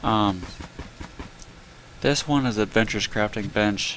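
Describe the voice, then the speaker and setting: Noticeable background noise accompanies a man talking at a moderate speed. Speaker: gaming YouTuber. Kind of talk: casual gameplay commentary.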